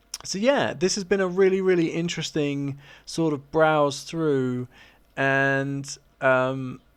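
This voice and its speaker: Over noticeable background noise, a man with a British accent talks at a very slow pace with ordinary pitch variation. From Britain. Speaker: YouTuber. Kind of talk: casual vlog commentary.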